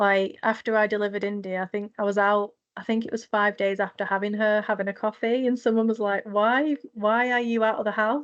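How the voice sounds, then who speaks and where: In a northern English accent, the speaker goes at a fairly quick pace with hardly any pauses. The intonation is monotone and flat, over a quiet background. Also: woman, fairly high pitch for a woman. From northwest England, Manchester. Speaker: mental health nurse, charity founder. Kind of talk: podcast interview.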